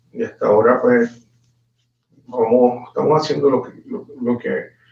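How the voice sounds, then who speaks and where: At a moderate pace, a man talks in a Puerto Rican accent. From Puerto Rico, Guayanilla. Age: 40s. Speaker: politician. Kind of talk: interview. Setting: live stream. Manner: halting.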